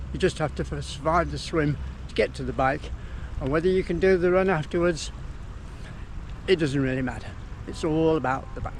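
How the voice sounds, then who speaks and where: Fairly quick delivery broken by long, frequent pauses. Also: man. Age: 60s. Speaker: amateur triathlete. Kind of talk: casual talk to camera. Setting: outdoors.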